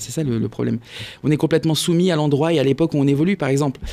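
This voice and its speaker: A man with a fairly high-pitched voice. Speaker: comedian. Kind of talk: comedy radio segment. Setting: radio studio. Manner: animated.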